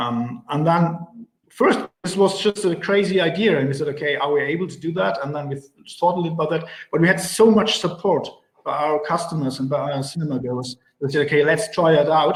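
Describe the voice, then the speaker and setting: With a German accent, a man speaks at a fairly high pitch. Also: ordinary pitch variation, fairly quick pace. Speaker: cinema advertising executive. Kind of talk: panel interview. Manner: halting, many fillers.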